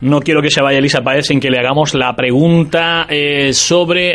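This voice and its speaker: This man's voice sits fairly high in pitch. Noticeable background noise runs beneath it. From Vélez-Málaga, Andalusia. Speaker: radio host. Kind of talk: radio interview.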